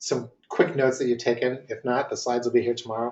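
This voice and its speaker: A somewhat breathy male voice. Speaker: marketing consultant. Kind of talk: webinar presentation. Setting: online webinar. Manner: fast; hesitant, many fillers.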